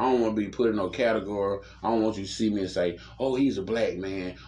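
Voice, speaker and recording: A man talks at a very fast pace with a fairly low pitch. Room echo can be heard. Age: 30s. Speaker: podcast host. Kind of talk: casual chat. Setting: downstairs room, in person.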